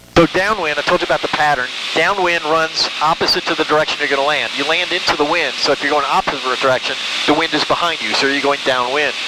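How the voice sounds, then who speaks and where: A man's fairly high voice at a very fast pace, with fairly even intonation and noticeable background noise. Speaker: private pilot. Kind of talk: casual chat. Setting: small plane cockpit in flight. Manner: fast talker.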